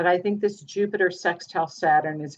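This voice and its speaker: At a moderate pace, a woman with a plain, everyday voice speaks at a fairly low pitch with ordinary pitch variation. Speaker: astrologer. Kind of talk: live group astrology session on video call.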